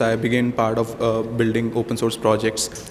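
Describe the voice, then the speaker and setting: A man's medium-pitched voice moves fairly quickly through noticeable background noise. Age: 20s. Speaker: hackathon participant. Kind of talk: self-introduction at event. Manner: halting.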